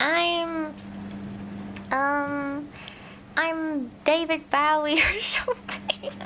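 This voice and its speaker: Over noticeable background noise, a woman with a high voice speaks at a very slow pace with long, frequent pauses and very wide pitch swings. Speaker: virtual streamer (vtuber) and ASMR creator. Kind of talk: soft reading of scary stories with casual commentary.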